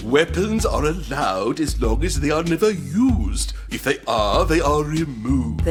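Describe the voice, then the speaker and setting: A put-on character voice at a moderate pace, over clear music in the background. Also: man. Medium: audio drama. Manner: formal, calm, literal.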